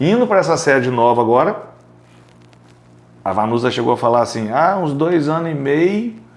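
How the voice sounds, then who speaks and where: A man speaks with a fairly high pitch and very wide pitch swings. He leaves long, frequent pauses. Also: moderate pace. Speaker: podcast host and accounting business owner. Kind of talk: casual interview chat.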